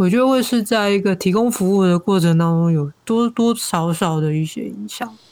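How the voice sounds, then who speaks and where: A woman of medium pitch talks at a moderate pace with ordinary pitch variation and hardly any pauses. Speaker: podcaster and social worker. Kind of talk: casual interview.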